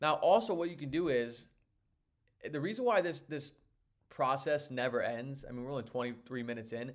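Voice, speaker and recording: Pausing long and often, a man with a fairly high pitch talks at a fairly quick pace with ordinary pitch variation. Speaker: online seller and course teacher. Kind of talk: live tutorial. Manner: fast; casual, filler-heavy.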